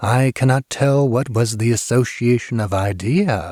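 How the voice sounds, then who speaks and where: A man talks at a medium pitch while doing a put-on character voice. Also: moderate pace. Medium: read story. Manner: quiet, composed.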